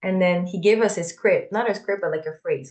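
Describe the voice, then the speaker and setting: Speaking at a medium pitch, a woman has a non-native accent. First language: not English. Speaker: podcast co-host. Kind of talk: casual spiritual discussion. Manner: halting, repeats words.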